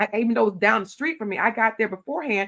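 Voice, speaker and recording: An animated woman's voice, bright and sharp in tone, fairly high in pitch, with lively intonation. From Louisiana. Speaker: county commissioner. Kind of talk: interview conversation.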